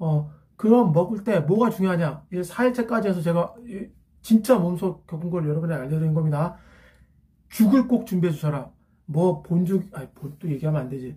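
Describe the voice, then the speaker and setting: A man with a high pitch and a dark, mellow tone speaks at a fairly quick pace with lively intonation. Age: 50s. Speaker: academy teacher. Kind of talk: casual talk to camera.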